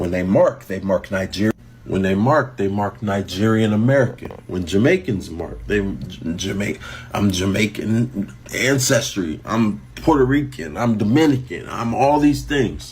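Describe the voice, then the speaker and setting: Over noticeable background noise, a man speaks fairly slowly with a fairly low pitch and lively intonation. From US. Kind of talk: opinion monologue.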